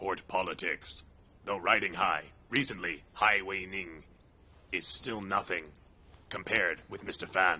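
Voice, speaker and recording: Putting on a character voice, a man talks at a moderate pace with a fairly low pitch, fairly even intonation and long, frequent pauses. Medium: fan dub.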